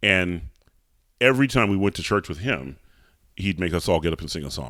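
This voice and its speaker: A man with an American accent speaks at a fairly quick pace in a very deep, low voice with vocal fry and a bright, sharp tone. His intonation is lively, and the very clean recording has a silent background. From US South, Atlanta. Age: 40s. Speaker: opera singer. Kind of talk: interview.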